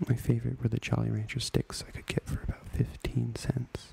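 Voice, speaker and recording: Whispering at a moderate pace, a man speaks. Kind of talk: ASMR memoir story reading. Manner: whispered.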